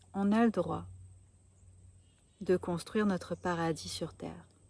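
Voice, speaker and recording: Her pace is very slow. The woman's fairly low voice keeps a fairly even intonation. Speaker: spiritual coach. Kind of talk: spiritual talk to camera. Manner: calm, gentle.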